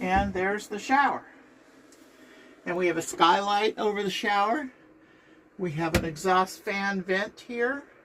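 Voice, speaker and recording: Against noticeable background noise, the speech moves at a fairly slow pace with ordinary pitch variation and long, frequent pauses. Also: woman, medium pitch for a woman. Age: 70s. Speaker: RV traveler and YouTuber. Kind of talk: casual home tour. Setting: inside her motorhome.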